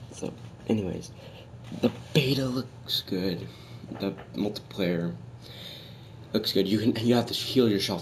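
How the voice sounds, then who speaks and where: Vocal fry runs through a man's voice as his pitch swings very widely. He keeps a moderate pace. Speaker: gaming YouTuber. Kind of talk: casual gameplay commentary. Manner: halting, many fillers.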